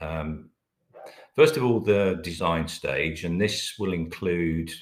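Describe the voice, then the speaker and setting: Speaking fairly slowly with a British accent, a man uses a very deep, low pitch and ordinary pitch variation. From Britain. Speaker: company managing director presenting a webinar. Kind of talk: webinar presentation. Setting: online webinar. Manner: hesitant, many filler words.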